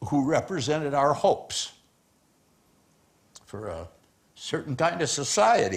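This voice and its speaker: Speaking with an American accent, a man uses a fairly high pitch with very wide pitch swings, big swings in loudness, vocal fry, and long, frequent pauses. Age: 60s. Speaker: rock musician giving a public lecture. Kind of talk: public lecture speech.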